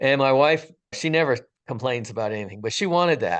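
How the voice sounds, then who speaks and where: At a moderate pace, a man speaks in a plain, everyday voice with ordinary pitch variation over a quiet background. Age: 60s. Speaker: retired firefighter sharing a near-death experience. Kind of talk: testimony. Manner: casual, conversational.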